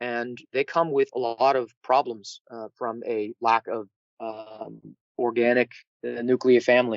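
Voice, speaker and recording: A man speaks at a medium pitch with a New England accent, keeping his intonation fairly even. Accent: New England Yankee twang. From New England, US. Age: 30s. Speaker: political dissident guest. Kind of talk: interview.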